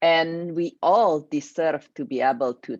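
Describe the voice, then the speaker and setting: Speaking with an Indonesian accent, a woman uses a very deep, low pitch at a very slow pace, and the sound is dry and close with no echo. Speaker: grief coach. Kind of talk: online workshop presentation.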